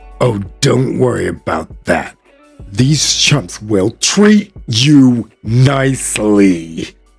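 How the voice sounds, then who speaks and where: A man's put-on character voice at medium pitch, very slow pace, with faint music in the background. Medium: read story. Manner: gruff, blunt.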